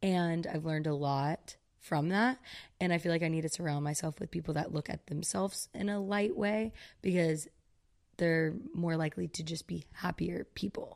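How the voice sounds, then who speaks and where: On a very clean recording with a silent background, a woman with an American accent speaks at a moderate pace with a fairly low pitch. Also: ordinary pitch variation. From US South, Georgia. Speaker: content creator. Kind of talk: casual chat.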